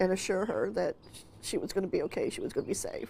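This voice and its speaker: At a moderate pace, a woman speaks. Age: 60s. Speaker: shooting survivor. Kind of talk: interview testimony.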